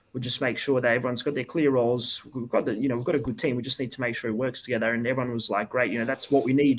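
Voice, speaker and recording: A man with an Australian accent talks at a very fast pace in a medium-pitched voice, his intonation flat and monotone, with hardly any pauses. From Perth, Western Australia. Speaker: futsal head coach. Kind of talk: podcast interview.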